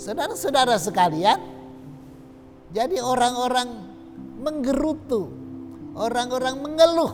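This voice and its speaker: Music plays in the background as the speaker goes at a fairly slow pace with long, frequent pauses. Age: 60s. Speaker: pastor. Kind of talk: sermon. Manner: repetitive, emphatic.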